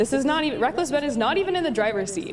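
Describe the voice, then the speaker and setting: A woman's voice swings very widely in pitch, with audible room echo around it. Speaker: livestreamer. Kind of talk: casual commentary livestream.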